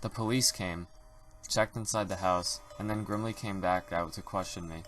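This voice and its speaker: Over background music, a man talks at a moderate pace with fairly even intonation. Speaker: creepypasta narrator. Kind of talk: reading aloud. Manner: unusual reading voice.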